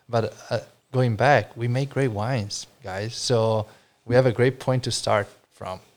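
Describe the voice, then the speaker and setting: In an Italian accent, a man speaks with monotone, flat intonation on a very clean recording with a silent background. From Friuli, Italy. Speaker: wine importer, business owner. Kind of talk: casual chat. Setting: informal studio, live on an audio app.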